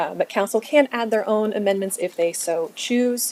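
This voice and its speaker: A woman with ordinary pitch variation. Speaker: city staff presenter. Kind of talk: training presentation. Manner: fast.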